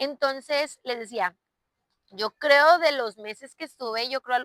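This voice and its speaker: Speaking at a fairly slow pace with a northern Mexican accent, the voice has a bright, sharp tone in a dry, close sound with no echo. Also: woman. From northern Mexico, Chihuahua. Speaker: podcast host, civil engineer. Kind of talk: personal storytelling monologue. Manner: casual, filler-heavy.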